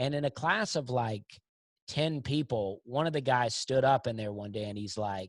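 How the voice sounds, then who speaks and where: Speaking with an American accent, a man of medium pitch keeps a moderate pace and ordinary pitch variation. The recording is very clean and dry, close with no echo, against a silent background. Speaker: comedian. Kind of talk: podcast interview. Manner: casual, storytelling.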